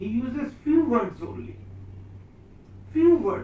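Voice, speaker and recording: Audible room echo and noticeable background noise accompany the man as he talks. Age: 60s. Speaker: professor. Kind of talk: lecture. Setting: seminar room with students.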